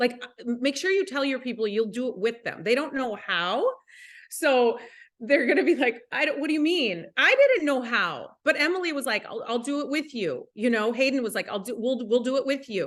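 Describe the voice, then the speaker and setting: In an Upper Midwest accent, a woman speaks at a moderate pace with a high pitch and lively intonation. Her tone is animated, and the background is quiet. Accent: Upper Midwest American. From US Midwest, Minnesota. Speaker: network marketing leader. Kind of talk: motivational talk.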